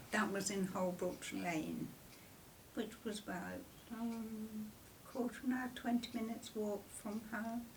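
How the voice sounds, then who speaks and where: Against noticeable background noise, a woman with an English Midlands accent speaks at a fairly high pitch. Her pace is fairly slow and her intonation fairly even. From Coventry, England. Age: 80s+. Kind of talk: interview answer. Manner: hesitant.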